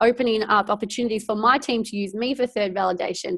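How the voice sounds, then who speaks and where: Against a quiet background, a woman with an animated tone speaks at a moderate pace with ordinary pitch variation. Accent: Australian. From Australia. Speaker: network marketing director. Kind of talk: team training webinar. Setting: video call from home. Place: home room. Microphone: earbuds.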